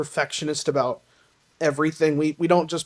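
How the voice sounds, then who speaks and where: A woman speaks with a slight Southern US accent. Her pitch is very deep and low. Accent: slight Southern twang. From Tennessee, US South. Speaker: singer in a band. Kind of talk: podcast interview. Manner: halting, many fillers.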